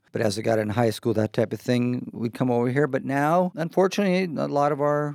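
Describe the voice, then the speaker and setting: In an American accent, a man uses an unremarkable speaking voice at medium pitch, fairly quick, with ordinary pitch variation. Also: hardly any pauses. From US Pacific Northwest, Seattle. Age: 50s. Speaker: house renovator. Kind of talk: casual interview.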